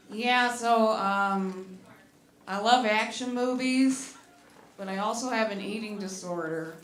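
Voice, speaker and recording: Speaking in an American accent, a woman keeps her intonation fairly even. The recording carries audible room echo and noticeable background noise. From US Midwest, Detroit, Michigan. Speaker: stand-up comedian. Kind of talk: stand-up. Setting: stage with audience.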